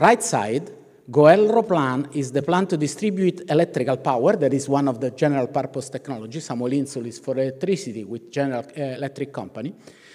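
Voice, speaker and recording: Talking at a very fast pace, a man with an Italian accent uses a fairly high pitch and lively intonation. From Italy. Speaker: professor of ethics. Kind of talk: keynote lecture. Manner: halting, with fillers and restarts.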